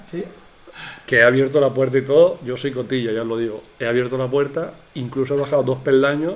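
A man at a medium pitch and very fast pace, with fairly even intonation. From Spain, Elche. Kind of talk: casual chat.

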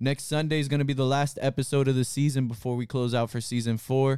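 A plain, everyday voice in a dry, close sound with no echo, on a very clean recording with a silent background. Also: man. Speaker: podcast host. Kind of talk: casual chat. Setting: livestream in a room with guests.

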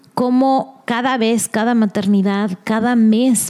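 Fairly high pitch marks this woman's voice, a normal speaking voice. Her intonation is fairly even. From Mexico. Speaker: podcast host.

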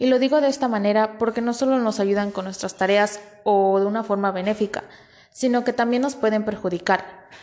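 A normal speaking voice, moderate in pace and ordinary in pitch variation. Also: woman. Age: 20s. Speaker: student podcast host. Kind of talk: scripted podcast presentation. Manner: formal.

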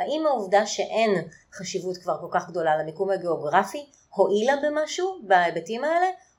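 Her pitch moves through very wide swings. The woman keeps to a moderate pace. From Israel. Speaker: podcast host. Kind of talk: interview.

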